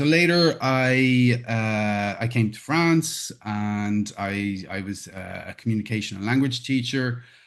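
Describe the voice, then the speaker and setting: In an Irish accent, a man speaks at a very slow pace with medium pitch, ordinary pitch variation and big swings in loudness. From Ireland. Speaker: conflict management trainer. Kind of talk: interview. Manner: halting, many repetitions and fillers.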